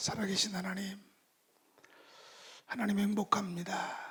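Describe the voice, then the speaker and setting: At a moderate pace, a man talks in a high pitch. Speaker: missionary.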